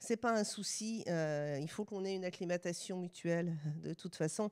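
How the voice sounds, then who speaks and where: Speaking with a Swiss accent, a woman uses a medium pitch with ordinary variation at a moderate pace. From France. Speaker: sociologist and university researcher. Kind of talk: lecture. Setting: stage with live audience.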